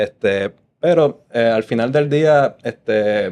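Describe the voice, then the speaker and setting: The voice is a man's. Its pitch variation is ordinary. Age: young. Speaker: podcast host. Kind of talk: interview.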